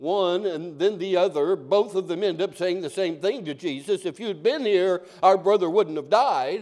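Someone reads in an unforced voice.

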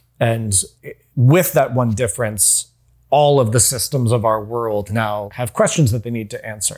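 Over a very clean recording with a silent background, a somewhat breathy man with an American accent speaks at a medium pitch and a moderate pace, with ordinary pitch variation. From US South, North Carolina. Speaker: television writer. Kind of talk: casual interview.

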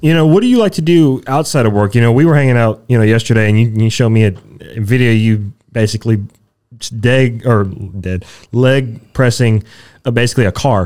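A plain, everyday voice, a man's, at medium pitch and a fairly quick pace, with ordinary pitch variation. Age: 20s. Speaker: podcast co-host. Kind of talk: casual chat; show outro. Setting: studio.

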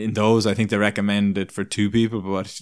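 A man speaks in an Irish accent, fairly low in pitch, with monotone, flat intonation. The recording is very clean, with a silent background. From Ireland, small town. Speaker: performance nutritionist and personal trainer. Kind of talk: casual interview chat. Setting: in person, over beers.

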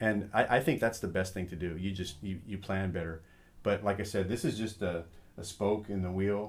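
At a moderate pace, a man with an unremarkable speaking voice talks at a fairly low pitch with fairly even intonation. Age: 50s. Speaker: float center owner. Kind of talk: casual chat.

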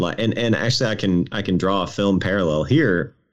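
The speaker has an unremarkable speaking voice, and the pitch varies in an ordinary way. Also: man. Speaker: podcast co-host. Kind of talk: casual chat.

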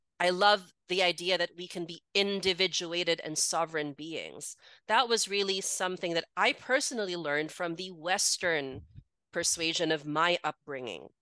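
Here a woman speaks at a moderate pace and a fairly low pitch, her tone bright and sharp. The sound is dry and close with no echo, over a quiet background, and her pitch varies in an ordinary way. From Philippines, raised in Singapore and Hong Kong. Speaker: women's coach. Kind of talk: interview, personal testimony.

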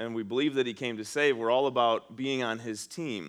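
Over a quiet background, a man uses an ordinary speaking voice, medium in pitch with ordinary pitch variation. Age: 40s. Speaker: pastor. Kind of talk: sermon. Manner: conversational.

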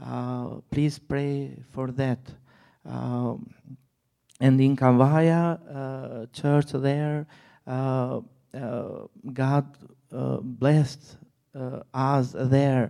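With a non-native accent and a dark, mellow tone, a man speaks at a very slow pace, leaving long, frequent pauses. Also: medium pitch for a man, fairly even intonation. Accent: foreign-accented English. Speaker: missionary. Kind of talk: testimony. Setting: church. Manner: halting.

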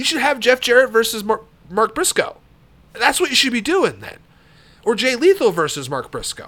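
A man uses a raised, projected voice at an extremely high pitch, with a bright, sharp tone and very wide pitch swings. He keeps a moderate pace, with big swings in loudness and long, frequent pauses. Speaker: podcast host and wrestling fan. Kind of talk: wrestling commentary rant, opinionated talk. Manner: rambling, trailing off mid-thought with fillers.

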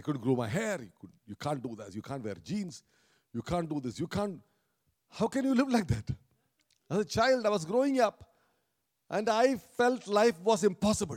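Recorded with a dry, close sound and no echo, a man with a high pitch and very wide pitch swings talks at a moderate pace with long, frequent pauses. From India, Kerala. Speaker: pastor. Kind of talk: sermon. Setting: church.

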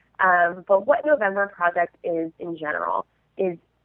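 Speaking fairly slowly with an American accent, a woman has an ordinary speaking voice at a medium pitch. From Southern California. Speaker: nonprofit fundraiser, fitness group co-founder. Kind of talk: casual interview.

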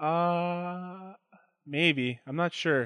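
A man's voice with ordinary pitch variation. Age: 20s. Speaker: podcast co-host, editor-in-chief. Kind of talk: casual chat.

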